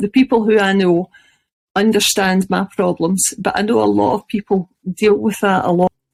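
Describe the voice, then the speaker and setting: A woman with a Scottish accent speaks at a moderate pace and medium pitch, with ordinary pitch variation and a dry, close sound with no echo. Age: 50s. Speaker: chronic illness blogger. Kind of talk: interview.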